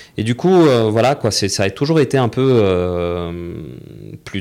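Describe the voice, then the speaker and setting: A man is speaking. His intonation is lively. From Saudi Arabia (Taif, Jeddah), Tunisian family. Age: 20s. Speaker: graduate student, immigrant. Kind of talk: interview. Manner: hesitant, many fillers and repetitions.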